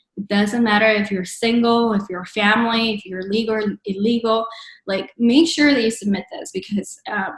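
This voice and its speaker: Breathy to some degree, a woman speaks in a Spanish accent at a fairly high pitch. Her pace is moderate and her intonation fairly even. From Mexico, Monterrey. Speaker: entrepreneurship program speaker. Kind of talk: webinar presentation. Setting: virtual webinar. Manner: hesitant, many fillers.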